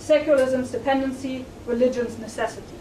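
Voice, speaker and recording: A woman speaks at a moderate pace with a high pitch and fairly even intonation. Noticeable background noise and an audible room echo fill the recording. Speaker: sociology professor introducing a lecture. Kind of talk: formal welcome and announcements at a public lecture. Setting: lecture room with live audience. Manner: trying to speak louder; hesitant, many fillers.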